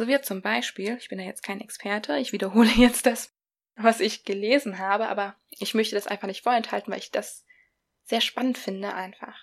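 There is an ordinary speaking voice from a woman at a fairly high pitch. She moves at a moderate pace with ordinary pitch variation on a very clean recording with a silent background. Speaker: podcast host. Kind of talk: solo podcast talk, explanatory with a short breathing exercise. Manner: warm, friendly, conversational.

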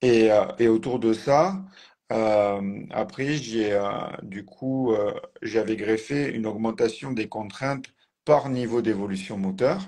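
The voice is dark and mellow, with ordinary pitch variation. It goes at a very slow pace with long, frequent pauses. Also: man, medium pitch for a man. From southern France, Tarn near Toulouse. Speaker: physiotherapist and trainer. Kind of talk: casual interview.

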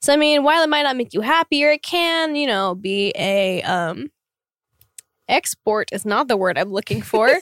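Pitch swings very widely in this dry, close recording with no echo. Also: woman, high pitch for a woman, moderate pace. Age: 20s. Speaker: K-pop singer. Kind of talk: casual chat. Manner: animated.

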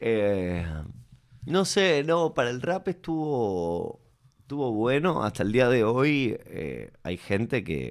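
A man at medium pitch speaks very slowly, his pitch swinging very widely, in a very clean recording with a silent background. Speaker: musician. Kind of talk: casual interview.

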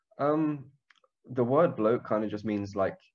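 A man with a London accent speaks with ordinary pitch variation. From northwest London, England. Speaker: podcast guest. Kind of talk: casual interview chat. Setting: phone or video call.

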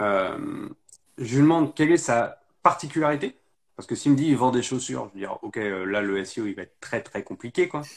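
A man's normal speaking voice, medium in pitch and fairly quick, with lively intonation and big swings in loudness. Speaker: live stream host. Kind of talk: casual chat. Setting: video call.

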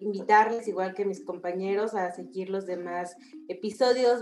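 Fairly even intonation and a fairly slow pace come through audible room echo and noticeable background noise. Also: woman. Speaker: podcast co-host. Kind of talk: casual chat.

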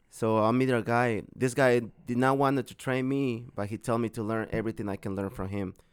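A man speaks with a Mexican accent at a medium pitch. His pace is fairly quick and his intonation fairly even. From Mexico, Guerrero. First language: Spanish. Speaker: hibachi chef and catering business owner. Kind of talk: casual interview.

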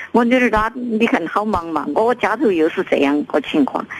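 This woman has a medium pitch with very wide pitch swings. Noticeable background noise runs behind her. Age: 70s. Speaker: caller, mother. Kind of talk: phone call-in. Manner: halting, stammering.

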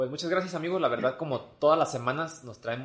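Here a man talks at a fairly quick pace with ordinary pitch variation. He has an unremarkable speaking voice. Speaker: podcast host. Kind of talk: casual chat.

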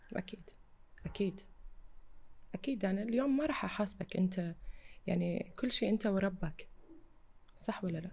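Using vocal fry, a woman speaks with ordinary pitch variation and long, frequent pauses. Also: medium pitch for a woman, moderate pace. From Iraqi family, raised in Kuwait. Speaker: fashion model. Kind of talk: interview.

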